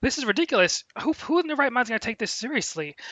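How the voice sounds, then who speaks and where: A man is speaking. His intonation is lively. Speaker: co-commentator. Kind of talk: political commentary livestream. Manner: fast.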